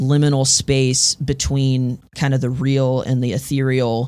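In an American accent, a man with a plain, everyday voice speaks at a fairly slow pace, his medium pitch kept fairly even. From Texas, Houston. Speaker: audio engineer and electronic musician. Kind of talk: casual interview.

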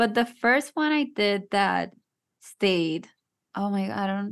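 At medium pitch and a fairly slow pace, a woman with a slight Puerto Rican accent speaks with ordinary pitch variation. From Puerto Rico. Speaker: actress and TikTok content creator. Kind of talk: casual podcast interview. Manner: nervous.

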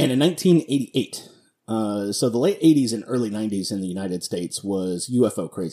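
A man talks at a very fast pace with lively intonation. His tone is dark and mellow. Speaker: podcast host. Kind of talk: solo commentary podcast. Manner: casual, many filler words.

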